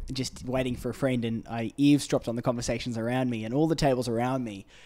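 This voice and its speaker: Very fast and flat in intonation, a man with an Australian accent speaks in a dark, mellow tone at medium pitch, in a very clean recording with a silent background. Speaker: podcast host. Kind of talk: casual interview. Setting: apartment, in person.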